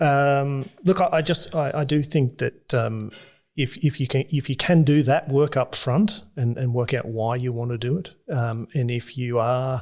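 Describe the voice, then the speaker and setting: A man with an Australian accent at a fairly slow pace, on a very clean recording with a silent background. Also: medium pitch for a man, ordinary pitch variation. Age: 40s. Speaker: regenerative farmer. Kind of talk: podcast interview answer. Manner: gentle-spoken, modest.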